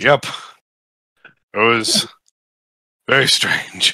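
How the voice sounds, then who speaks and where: Putting on a raspy character voice at a medium pitch, a man speaks with a dry, close sound and no echo. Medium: actual play.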